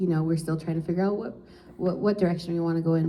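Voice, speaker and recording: A woman speaks with a dark, mellow tone and a fairly low pitch. Her voice is somewhat breathy. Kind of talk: panel talk. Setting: live panel at an office with audience.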